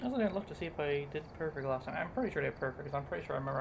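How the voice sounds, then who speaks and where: Mumbling at a very fast pace, a woman speaks in a very deep, low pitch with ordinary pitch variation. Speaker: gaming streamer. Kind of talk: gameplay commentary.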